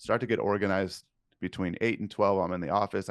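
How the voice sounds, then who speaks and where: A man with an American accent and a fairly low pitch is heard in a dry, close sound with no echo over a quiet background. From California. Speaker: digital marketing agency owner. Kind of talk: podcast interview. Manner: blunt.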